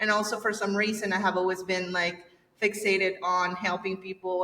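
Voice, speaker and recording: Noticeable background noise runs under a voice with a Spanish accent. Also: woman. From El Salvador. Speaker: agency owner. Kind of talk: podcast interview. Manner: halting.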